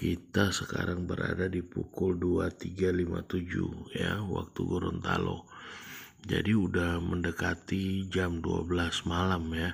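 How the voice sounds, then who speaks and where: The voice is quiet and somewhat breathy, moving at a fairly slow pace with monotone, flat intonation. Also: man, very deep, low pitch for a man. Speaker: trading YouTuber. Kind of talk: screen-share tutorial. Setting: home recording late at night. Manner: quiet, low volume; casual, hesitant with fillers.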